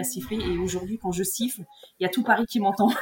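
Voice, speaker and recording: A woman speaks at a medium pitch with ordinary pitch variation. There is noticeable background noise behind her. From central France, Morvan countryside. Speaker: grappling world champion and university teacher. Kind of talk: casual interview. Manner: halting, many repetitions and fillers.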